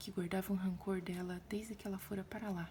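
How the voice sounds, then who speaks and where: Soft-spoken and gentle in tone, a woman talks at a medium pitch and a moderate pace with fairly even intonation. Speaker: ASMR creator. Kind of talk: audiobook-style reading. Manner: soft-spoken, gentle, ASMR style.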